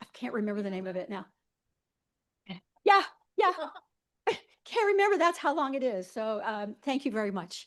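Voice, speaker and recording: Pitched high, a woman speaks at a moderate pace with very wide pitch swings and long, frequent pauses. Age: 70s. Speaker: court reporter. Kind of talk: farewell remarks at meeting.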